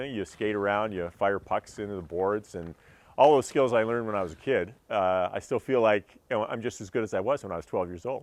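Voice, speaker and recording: With a Canadian accent, a man talks at a fairly quick pace in a fairly low pitch. He has an ordinary speaking voice with ordinary pitch variation. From Canada, Edmonton. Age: 60s. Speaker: radio host. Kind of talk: interview.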